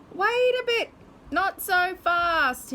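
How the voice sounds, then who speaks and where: A woman's put-on character voice, squeaky and extremely high in pitch, with very wide pitch swings. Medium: read story. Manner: bristly, bossy.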